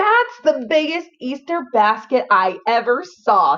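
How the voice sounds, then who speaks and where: A woman uses a put-on character voice pitched high. She talks at a fairly slow pace. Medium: read story. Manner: boastful, eager.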